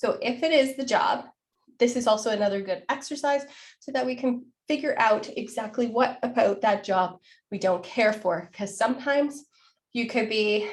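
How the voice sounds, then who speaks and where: Her voice is somewhat breathy and fairly high as a woman talks with ordinary pitch variation. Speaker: career coach. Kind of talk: live online workshop. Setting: live stream on Zoom and Facebook. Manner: fast.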